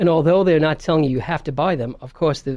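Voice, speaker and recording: Ordinary pitch variation marks this speech in a New York accent. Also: man. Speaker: video marketing business owner. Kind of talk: radio interview.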